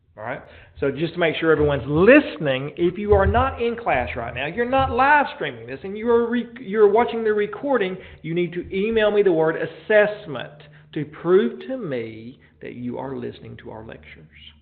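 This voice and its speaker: A man speaks in a high voice, his pitch swinging very widely and his loudness rising and falling sharply. The room echo is audible, and noticeable background noise sits behind him. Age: 40s. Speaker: college professor. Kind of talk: lecture. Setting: classroom, live streamed and recorded. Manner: fast; mumbling.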